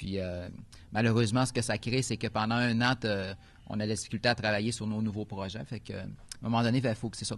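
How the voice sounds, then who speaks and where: Speaking at a fairly quick pace, a man holds a medium pitch in a monotone, flat delivery. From Quebec, Saguenay. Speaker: film director. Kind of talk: press conference interview. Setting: press club event. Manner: hesitant, many fillers.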